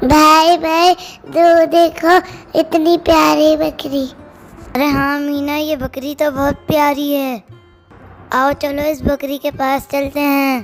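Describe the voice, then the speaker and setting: A put-on character voice at a high pitch, with faint music in the background. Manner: excited, playful.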